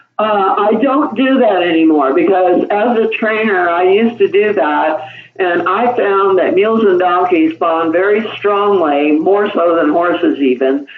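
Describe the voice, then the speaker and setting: Speaking at a fairly slow pace with lively intonation and very even loudness, a woman is recorded with audible room echo and noticeable background noise. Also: medium pitch for a woman. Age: 70s. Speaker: mule trainer. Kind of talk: interview. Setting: podcast. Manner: conversational, with frequent fillers and repetitions.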